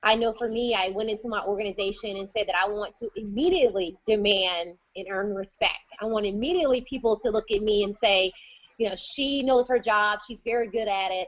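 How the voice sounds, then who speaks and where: A woman with an unremarkable speaking voice talks at a fairly quick pace and fairly high pitch, with ordinary pitch variation. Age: 30s. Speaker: conference moderator. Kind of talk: virtual conference moderation.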